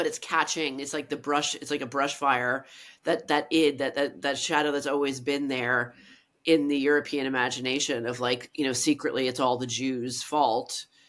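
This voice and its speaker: Speaking at a moderate pace with an American accent, a woman with a very deep, low voice keeps her intonation fairly even on a very clean recording with a silent background. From Ireland and US, mixed upbringing. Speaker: writer and cultural critic. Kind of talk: interview conversation. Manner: halting, many restarts.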